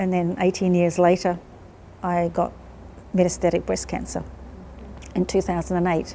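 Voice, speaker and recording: In a New Zealand accent, a woman speaks at a fairly low pitch. Her tone is dark and mellow. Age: 60s. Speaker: cancer patient. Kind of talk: interview testimony.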